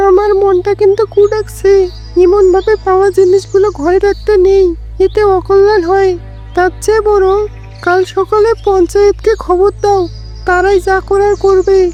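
A woman's cartoonish character voice at extremely high pitch, fairly slow pace, with clear music in the background

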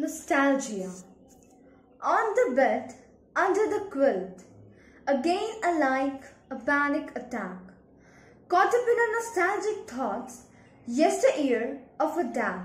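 Very wide pitch swings mark this very slow delivery, full of long, frequent pauses and set in audible room echo. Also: woman, high pitch for a woman. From India. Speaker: poet. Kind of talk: poetry reading. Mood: wistful, sad. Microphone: phone near.

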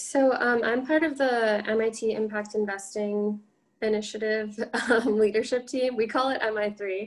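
Spoken in an unremarkable speaking voice with an American accent, the speech moves at a fairly slow pace with fairly even intonation over a quiet background. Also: woman, fairly high pitch for a woman. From US Midwest (Illinois). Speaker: MBA student; panelist. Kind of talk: panel discussion. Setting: video call webinar. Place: home room. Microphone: webcam.

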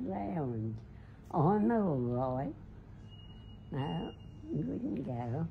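With an Australian accent, a woman speaks in a dark, mellow, somewhat breathy voice whose pitch swings very widely. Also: light background noise. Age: 90s. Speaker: social media personality. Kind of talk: casual chat. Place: home room. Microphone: phone near.

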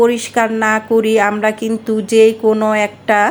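Noticeable background noise under a woman's fairly high-pitched voice. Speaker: cooking channel host. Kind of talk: tutorial.

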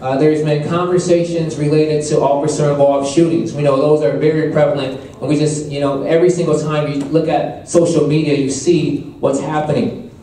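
With hardly any pauses, a man talks at a moderate pace in fairly even intonation, with audible room echo and light background noise. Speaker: event host or moderator. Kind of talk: opening remarks to an audience. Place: hall.

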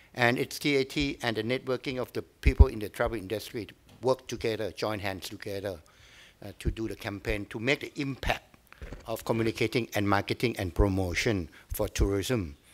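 Speaking with a Thai accent, a man keeps a moderate pace and a fairly low pitch. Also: ordinary pitch variation. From Thailand. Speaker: tourism agency head; tourism official giving lecture. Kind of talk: lecture. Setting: stage with audience. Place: hall. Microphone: podium.

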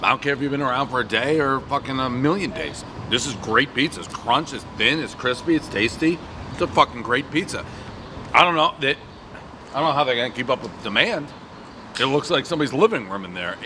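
With light background noise behind him, a man talks at a fairly quick pace using lively intonation. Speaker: food reviewer. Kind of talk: casual review commentary. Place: street. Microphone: camera far.

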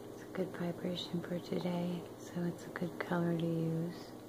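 Speech at a moderate pace over loud background noise. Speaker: spiritual energy vlogger. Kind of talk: casual vlog chat. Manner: soft, close ASMR whisper. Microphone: phone near.

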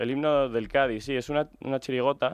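A man talks at a fairly slow pace. The background is quiet, and the sound is dry with no echo. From Spain, Medina del Campo (Castile and León); Castile and León, Spain. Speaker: illustrator and graphic designer; interviewee. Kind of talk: radio interview. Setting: radio studio. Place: studio.

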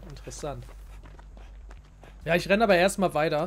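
The speaker is a man with a fairly high pitch. Noticeable background noise can be heard. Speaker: gaming youtuber. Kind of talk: let's play commentary. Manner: casual, chatty.

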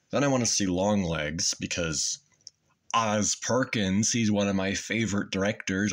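Against a quiet background, a man speaks with a fairly low pitch and fairly even intonation. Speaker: YouTuber; vlogger. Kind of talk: casual monologue. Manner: halting with many fillers. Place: home room. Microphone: phone near.

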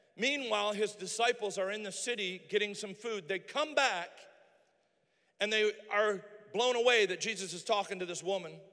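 A man's raised, projected voice, high-pitched with a bright, sharp tone, ordinary pitch variation and a moderate pace over a quiet background. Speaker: pastor. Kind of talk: sermon; rousing sermon climax, urging the congregation to their calling. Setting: church. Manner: fervent and emphatic, building momentum with call-and-response; folksy and humorous, self-deprecating asides. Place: church. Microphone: handheld.

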